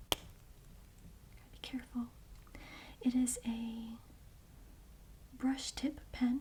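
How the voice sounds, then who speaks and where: A soft-spoken woman with a high voice talks at a very slow pace, her flat, monotone delivery broken by long, frequent pauses. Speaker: ASMR creator. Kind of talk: ASMR makeup bag tour.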